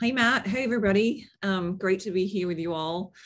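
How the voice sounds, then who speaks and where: The speaker talks at a moderate pace with an Australian accent and ordinary pitch variation, against a quiet background. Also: woman. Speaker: marketing executive. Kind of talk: webinar panel discussion.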